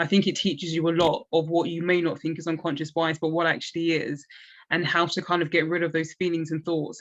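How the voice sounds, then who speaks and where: Talking very fast in a South East London accent, a woman uses a fairly low, monotone, flat voice. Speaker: recently qualified lawyer, interview panel member. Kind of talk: panel discussion.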